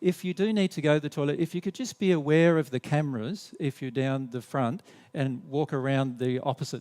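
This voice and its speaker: A man with an Australian accent, fairly high-pitched and fairly quick, with lively intonation and a dry, close sound with no echo. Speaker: spiritual teacher. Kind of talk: seminar presentation. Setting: hall with live audience, recorded on camera. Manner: drops the endings off words; halting, many fillers and restarts.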